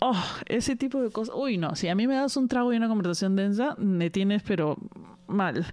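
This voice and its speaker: This woman has an ordinary speaking voice, fairly high in pitch, delivered at a moderate pace with very even loudness. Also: lively intonation. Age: 40s. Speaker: podcast host. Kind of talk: casual monologue.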